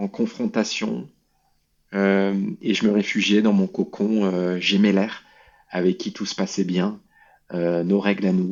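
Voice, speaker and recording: A man at a very slow pace, with long, frequent pauses and fairly even intonation. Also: fairly low pitch for a man. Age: 30s. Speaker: former alcoholic, charity president. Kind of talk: testimony. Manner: halting, many fillers.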